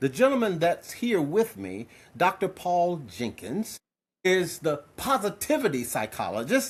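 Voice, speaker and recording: A man's high-pitched voice, fairly slow, with very wide pitch swings, on a very clean recording against a silent background. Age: 70s. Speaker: podcast host and public speaker. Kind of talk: show intro; interview.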